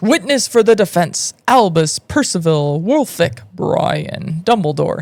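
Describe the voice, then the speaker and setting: In a booming, put-on character voice, a woman speaks at a fairly low pitch and a fairly slow pace. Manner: loud, declarative.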